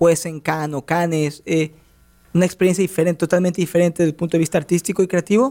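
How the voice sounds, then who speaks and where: On a very clean recording with a silent background and a dry, close sound with no echo, a man with a Mexican accent speaks very fast in a high pitch with a dark, mellow tone. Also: fairly even intonation. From Mexico. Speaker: sports radio host. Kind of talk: radio interview. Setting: radio studio.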